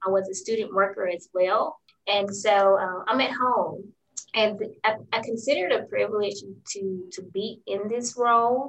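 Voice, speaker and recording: A plain, everyday voice from a woman, medium in pitch, fairly even in intonation, at a moderate pace. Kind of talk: casual interview conversation.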